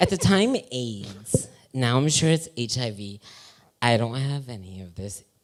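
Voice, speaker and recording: Here is a man with a plain, everyday voice at medium pitch. He talks at a fairly slow pace with lively intonation and big swings in loudness. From Western Massachusetts (Holyoke), Puerto Rican family. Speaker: modeling talent manager. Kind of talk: casual comedic interview on a live show. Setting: live show with audience.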